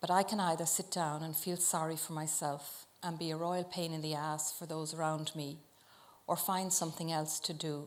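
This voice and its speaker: A woman's fairly low voice in an Irish accent, monotone and flat, at a moderate pace. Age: 50s. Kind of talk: public talk to live audience. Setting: live venue.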